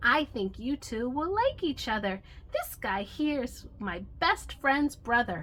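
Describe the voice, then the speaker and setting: Using a put-on character voice, a woman speaks fairly slowly at a high pitch. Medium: read story. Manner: friendly, casual.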